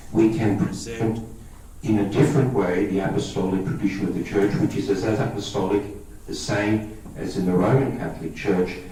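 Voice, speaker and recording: Noticeable background noise and audible room echo fill the space. The talking has a moderate pace and ordinary pitch variation. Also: man, fairly low pitch for a man. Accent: Australian. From Australia. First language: Greek. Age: 50s. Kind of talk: talk to a parish audience.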